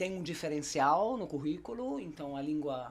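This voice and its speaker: A woman speaks with a German accent in a very deep, low pitch and lively intonation. Her pace is moderate, with audible room echo. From Germany. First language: German (speaking Portuguese). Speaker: German teacher. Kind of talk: casual chat.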